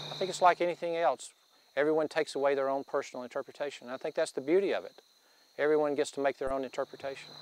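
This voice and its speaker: A man talks very fast in an Appalachian accent, his fairly high pitch holding fairly even intonation. The sound is dry and close, with no echo. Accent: Southern Appalachian US. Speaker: landowner. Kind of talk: interview.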